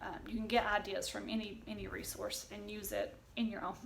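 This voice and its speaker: A woman speaks in a Southern Appalachian accent. Room echo is audible. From US South, East Tennessee. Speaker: homeschooling vlogger. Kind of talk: casual tutorial. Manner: chatty, with fillers.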